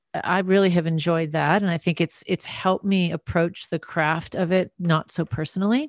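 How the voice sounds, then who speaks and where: This woman has a fairly low pitch, ordinary pitch variation and an unremarkable speaking voice. The sound is dry and close with no echo, and the background is quiet. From US Midwest, North Dakota, then San Francisco Bay Area. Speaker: singer and author. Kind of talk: interview conversation.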